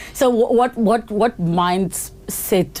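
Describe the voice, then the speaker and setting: Noticeable background noise fills the recording. A woman's voice comes through it. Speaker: podcast host. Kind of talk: podcast interview questions.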